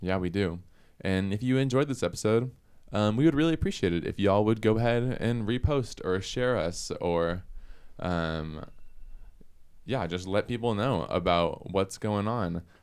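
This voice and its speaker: A man's unremarkable speaking voice with an American accent, fairly low in pitch, with lively intonation at a moderate pace, in a very clean recording with a silent background. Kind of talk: casual chat.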